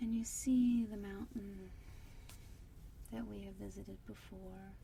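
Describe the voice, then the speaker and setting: A soft-spoken woman talks at a fairly slow pace, with big swings in loudness. Noticeable background noise is present. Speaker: meditation guide. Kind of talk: guided meditation. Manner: soft-spoken, slow.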